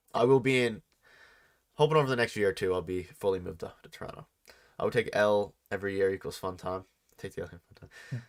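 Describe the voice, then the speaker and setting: Speaking at a very fast pace with long, frequent pauses, a man with a fairly low pitch and a slight Newfoundland accent shows big swings in loudness and ordinary pitch variation in a very clean recording with a silent background. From Newfoundland, Canada. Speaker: sports podcast host. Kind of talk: live stream chat. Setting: live stream.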